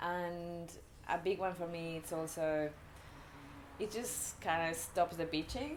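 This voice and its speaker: There is noticeable background noise as a woman talks at a fairly slow pace, leaving long, frequent pauses. Her voice sits fairly low, with ordinary pitch variation. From Mexico. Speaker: surfer. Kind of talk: interview answer.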